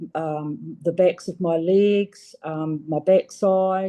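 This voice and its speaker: Her tone dark and mellow, a woman speaks at a very slow pace. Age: 60s. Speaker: patient giving testimonial. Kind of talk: testimony. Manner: halting, many fillers.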